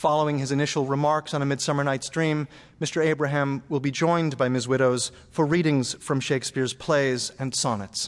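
A man speaks in a plain, everyday voice with a fairly high pitch. His pace is fairly quick, his intonation fairly even, and the background is quiet. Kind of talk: formal stage introduction. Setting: stage with live audience. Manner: formal, polished.

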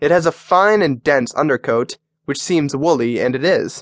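An ordinary speaking voice from a man, fairly high in pitch with ordinary pitch variation and a fairly slow pace, in a dry, close sound with no echo. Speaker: audiobook narrator. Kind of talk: audiobook narration, reading a how-to book aloud. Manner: formal; even and instructive.

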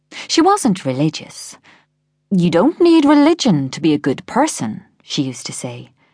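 This woman has an Irish accent and a fairly low voice that swings very widely in pitch. The background is quiet. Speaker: audiobook narrator. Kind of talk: dramatic first-person audiobook narration of a thriller. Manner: slow, hushed, mournful and wistful; measured, expressive, reflective with grief.

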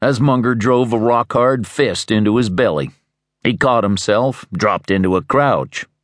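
There's a natural reading voice here, with ordinary pitch variation and a quiet background.

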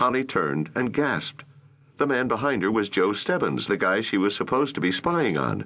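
The intonation here is lively. It is plain reading aloud.

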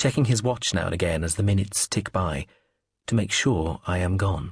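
A man's dramatic, sinister, somewhat breathy delivery with lively intonation at a moderate pace against a quiet background. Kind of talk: audiobook narration of a novel, first-person and third-person scenes read aloud.

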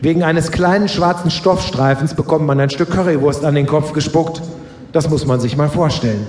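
The tone is playful, at a moderate pace with ordinary pitch variation and very even loudness. Noticeable background noise is present. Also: man, fairly high pitch for a man. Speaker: author and live reader. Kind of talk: stand-up comedy reading. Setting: stage with audience. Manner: playful storytelling with punchlines.

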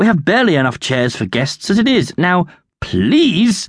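A man performs a put-on character voice with high pitch, big pitch swings and a slightly husky edge. He keeps a moderate pace on a very clean recording with a silent background.

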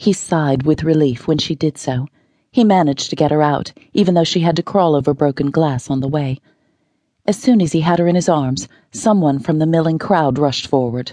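This woman's voice is very deep and low, with a dark, mellow tone and ordinary pitch variation. She speaks at a fairly quick pace in a dry, close sound with no echo and a quiet background. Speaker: audiobook narrator. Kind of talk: dramatic audiobook narration of a thriller rescue scene. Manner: tense, urgent pacing through the car-wreck action; shifts into character voices for dialogue.

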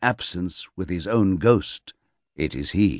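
Over a quiet background, a man with a normal speaking voice talks with lively intonation in a dry, close sound with no echo. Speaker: audiobook narrator. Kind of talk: dramatic gothic audiobook narration, reading literary prose aloud. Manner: slow, measured and brooding, savouring ornate phrases; theatrical, ominous storytelling tone.

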